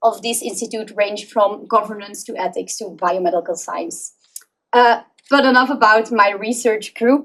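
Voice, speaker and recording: At a moderate pace, a woman speaks with a Flemish accent and ordinary pitch variation. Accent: Belgian Dutch (Flemish) accent in English. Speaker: PhD researcher. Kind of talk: conference presentation.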